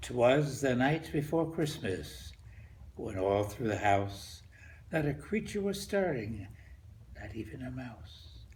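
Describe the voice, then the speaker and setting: At a very slow pace, a man speaks with vocal fry and very wide pitch swings. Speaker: grandfather. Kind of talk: poetry reading.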